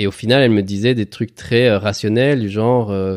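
At a moderate pace, the voice carries a dark, mellow tone and ordinary pitch variation, recorded very cleanly with a silent background and a dry, close sound free of echo. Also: man. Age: 40s. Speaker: father interviewed about parenthood. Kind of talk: casual interview.

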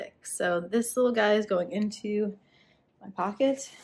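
A woman's somewhat breathy voice moves at a fairly slow pace with fairly even intonation. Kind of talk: casual vlog chat. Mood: happy, playful. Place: home room. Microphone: phone near.

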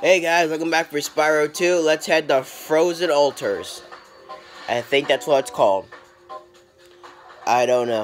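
Music plays in the background. The speech moves at a fairly slow pace with long, frequent pauses. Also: man, fairly high pitch for a man, ordinary pitch variation. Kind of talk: casual let's play commentary.

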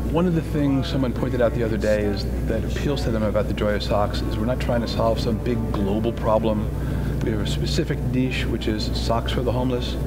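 Music sounds in the background. Over it, a man speaks at a fairly quick pace. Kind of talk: interview answer. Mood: earnest, warm. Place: garden.

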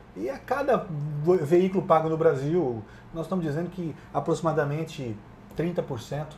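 With light background noise behind, the speaker goes at a fairly slow pace with long, frequent pauses, lively intonation and big swings in loudness. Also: man. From Brazil, Paraná. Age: 40s. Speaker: bank executive. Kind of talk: interview. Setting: studio at agricultural fair. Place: studio. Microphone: lapel.

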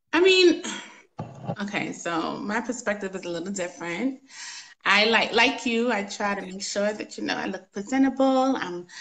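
There is light background noise as a woman talks. Her pitch is fairly high and her pace moderate. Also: lively intonation. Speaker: guest on a relationship talk show; talk show guest. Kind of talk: casual chat. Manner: pleasant, practiced feminine speaking voice. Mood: confident, opinionated. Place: home room. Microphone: phone near.

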